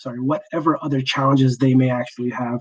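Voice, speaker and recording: Fairly quick talk from a man with an American accent. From Boston. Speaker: trainer for healthcare providers on working with interpreters. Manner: fast talker.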